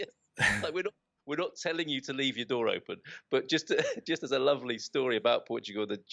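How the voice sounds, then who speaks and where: At a very fast pace, a man with a British accent speaks at a medium pitch with lively intonation. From United Kingdom. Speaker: expat, podcast host. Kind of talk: interview answer. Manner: chatty, enthusiastic.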